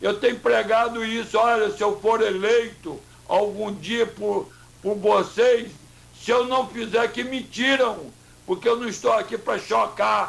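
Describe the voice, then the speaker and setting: This man's voice sits high in pitch, moving at a fairly slow pace with fairly even intonation. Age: 70s. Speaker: mayoral candidate. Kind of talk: radio interview.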